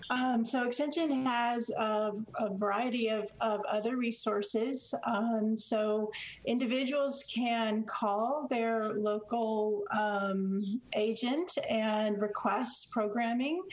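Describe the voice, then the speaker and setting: Over noticeable background noise, a woman speaks at a fairly high pitch and a very slow pace, her loudness very even. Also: fairly even intonation. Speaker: extension service economist. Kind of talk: radio interview.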